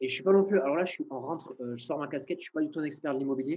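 A man's voice sits at a fairly high pitch with ordinary pitch variation. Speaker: videographer. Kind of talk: interview. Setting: video call.

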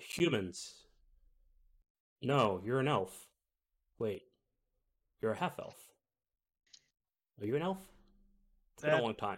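This is a gruff, put-on character voice. It moves at a moderate pace with long, frequent pauses. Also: man, medium pitch for a man. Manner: wary, questioning.

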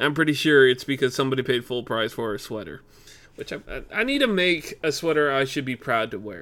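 This man talks at a fairly quick pace with an American accent. His tone is bright and sharp, and his intonation is lively. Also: fairly high pitch for a man. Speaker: podcaster. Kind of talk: casual solo podcast chat. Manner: rambling, halting, conversational.

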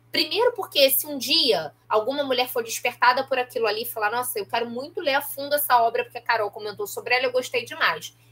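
The delivery is very fast with lively intonation and big swings in loudness. Background noise is noticeable. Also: woman, high pitch for a woman, hardly any pauses. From Baixada Fluminense, Rio de Janeiro state (Nova Iguaçu). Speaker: professor and podcaster. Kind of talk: interview conversation.

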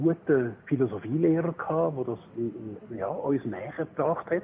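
Noticeable background noise runs under this recording. A man speaks fairly slowly with lively intonation. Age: 60s. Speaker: retiring primary school teacher. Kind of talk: casual chat.

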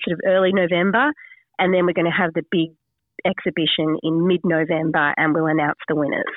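A woman with an Australian accent, fairly low pitch and fairly even intonation. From Sydney, Australia. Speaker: magazine founder and editor. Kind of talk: radio interview.

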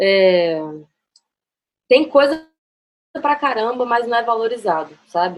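The intonation is lively. The pace is fairly slow. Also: woman. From Brasília. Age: 20s. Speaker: photographer. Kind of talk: casual chat. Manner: halting.

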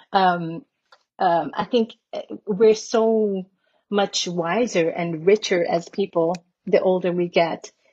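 Speaking at a very slow pace with long, frequent pauses, a woman sounds somewhat breathy, with a dark, mellow tone and fairly even intonation. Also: medium pitch for a woman. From Curaçao, Dutch Caribbean. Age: 50s. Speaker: singer. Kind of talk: interview. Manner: halting.

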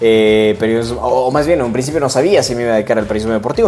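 A man speaks at a medium pitch. There is noticeable background noise and audible room echo. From Ecuador, Cuenca. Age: 20s. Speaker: sports journalist. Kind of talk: solo podcast monologue. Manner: hesitant, many fillers.

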